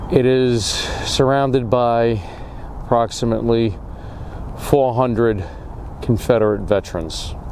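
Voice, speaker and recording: A quiet man at a medium pitch and fairly slow pace, with long, frequent pauses, audible room echo and noticeable background noise. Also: ordinary pitch variation. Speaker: history video host. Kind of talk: on-location history vlog. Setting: outdoors at a cemetery. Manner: quiet, subdued.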